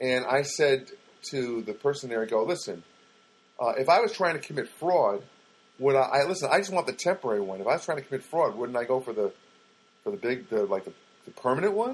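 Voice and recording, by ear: Medium-pitched with a slightly husky edge, a man talks at a fairly quick pace with big pitch swings.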